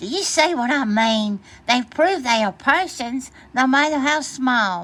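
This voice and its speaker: A woman uses a put-on character voice at a high pitch and a moderate pace. The recording is very clean with a silent background. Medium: read story.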